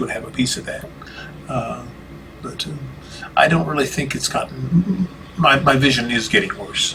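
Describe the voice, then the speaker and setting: Delivered at a moderate speed, the speech comes with noticeable background noise. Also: man. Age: 60s. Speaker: minister with vision loss. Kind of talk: interview conversation. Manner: halting, many fillers and restarts.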